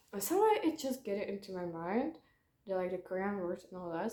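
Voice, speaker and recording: A woman's medium-pitched voice with a dark, mellow tone and a non-native accent. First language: not English. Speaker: YouTuber. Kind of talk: casual vlog monologue. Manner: halting, many fillers.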